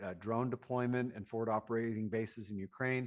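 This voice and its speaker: Against a quiet background, a man speaks in a flat, monotone way. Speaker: sales executive presenting products. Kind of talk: webinar presentation. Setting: online webinar. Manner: fast; frequent filler words.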